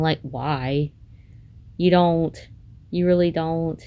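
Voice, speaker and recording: At a fairly slow pace, a woman speaks in a fairly low pitch with a dark, mellow tone and monotone, flat intonation. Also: very clean recording, silent background. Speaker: content creator. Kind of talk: personal vlog monologue. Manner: halting; hesitant, many fillers.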